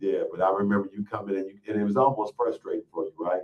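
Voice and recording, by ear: A fast-paced man with low pitch and ordinary pitch variation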